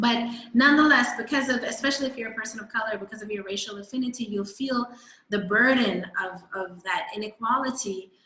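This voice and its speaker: The speaker talks at a fairly quick pace with a New York accent and ordinary pitch variation. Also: woman, fairly high pitch for a woman. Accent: American (New York). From New York, US. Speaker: guest speaker on South Africa. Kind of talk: presentation talk.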